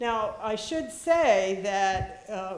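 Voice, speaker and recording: In an American accent, a woman talks in a space with audible room echo. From Philadelphia, US. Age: 70s. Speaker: retired school head. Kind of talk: keynote speech. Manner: halting.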